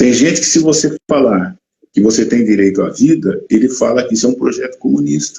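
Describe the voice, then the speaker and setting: Marked by vocal fry, this dark, mellow voice moves at a fairly quick pace with lively intonation and very even loudness. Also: man, medium pitch for a man. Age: 70s. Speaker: professor. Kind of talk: live stream interview. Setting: online live stream.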